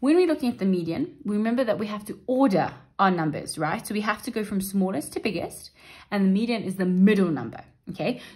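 Speaking at a very fast pace, this voice sounds somewhat breathy, with lively intonation. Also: woman, medium pitch for a woman. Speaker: maths literacy teacher. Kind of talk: tutorial. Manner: explanatory, steady.

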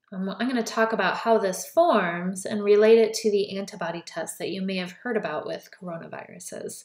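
A woman talks at a fairly quick pace with hardly any pauses, an ordinary speaking voice at medium pitch. Her loudness swings widely while her pitch varies in an ordinary way. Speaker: college biology instructor. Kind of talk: lecture. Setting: recorded lecture video.

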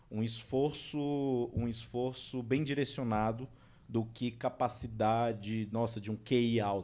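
At a very slow pace, a man speaks in a medium pitch with fairly even intonation and a dark, mellow tone. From Brasília, Brazil. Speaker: civil servant; podcast guest. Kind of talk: interview. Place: studio. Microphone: studio mic.

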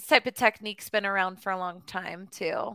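A woman speaks in a raised, projected voice. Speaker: online English tutor. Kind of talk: casual conversation lesson. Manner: hesitant, many fillers.

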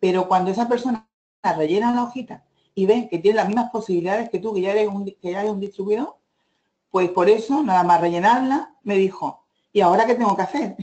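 Someone talks at a very fast pace with an Andalusian accent. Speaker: direct sales manager. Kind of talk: presentation.

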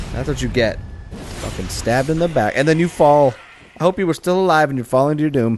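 Over music in the background, a man speaks very fast in a fairly high voice with ordinary pitch variation. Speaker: gaming YouTuber. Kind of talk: let's play commentary. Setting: home recording while gaming. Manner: casual, filler-heavy with frequent swearing.

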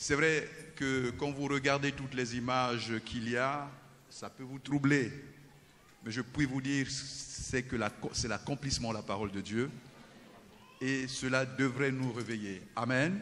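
Long, frequent pauses break up this man's speech. He talks at a fairly slow pace with fairly even intonation. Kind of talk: interview answer. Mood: earnest, exhorting. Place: church. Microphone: handheld.

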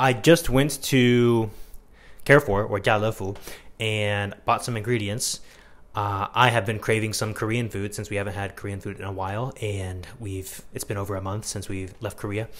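With a normal speaking voice, a man talks at a moderate pace, using a fairly low pitch and fairly even intonation. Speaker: vlogger. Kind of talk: casual vlog chat. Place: kitchen. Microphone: lapel.

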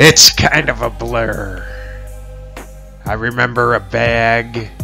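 Music can be heard behind the voice. The man talks very slowly. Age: old. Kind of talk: children's picture book read-aloud.

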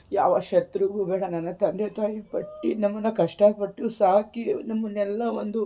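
This woman's voice sits at a medium pitch with fairly even intonation. Noticeable background noise runs under the recording. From rural Karnataka. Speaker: YouTuber. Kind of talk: personal testimony. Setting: home.

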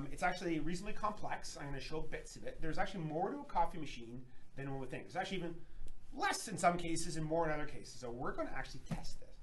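With light background noise behind it, the voice races along at a very fast pace with lively intonation. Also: man, high pitch for a man. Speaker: lab company presenter. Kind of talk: webinar presentation. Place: workshop. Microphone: camera far.

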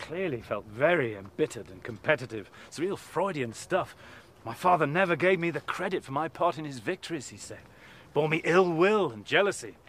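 This man talks at a fairly quick pace with vocal fry, very wide pitch swings and big swings in loudness. The sound is dry with no echo. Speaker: presenter. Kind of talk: storytelling to camera. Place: open country.

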